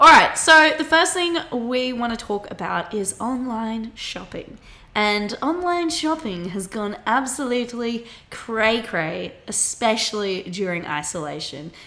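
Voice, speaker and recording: A bright, sharp voice with an Australian accent, fairly slow, with very wide pitch swings and big swings in loudness. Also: woman, fairly high pitch for a woman. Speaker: podcast host, university student. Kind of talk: casual chat.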